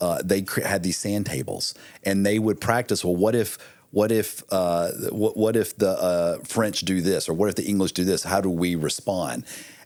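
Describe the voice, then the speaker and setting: An unremarkable speaking voice from a man, fairly low in pitch, with fairly even intonation at a moderate pace, in a very clean recording with a silent background. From US, military family. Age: 50s. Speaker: military veteran and marketing executive, author. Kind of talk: podcast interview.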